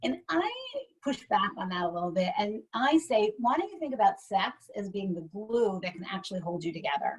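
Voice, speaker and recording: A woman's medium-pitched voice with very wide swings in pitch. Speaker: sex therapist. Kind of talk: webinar talk. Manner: fast; animated.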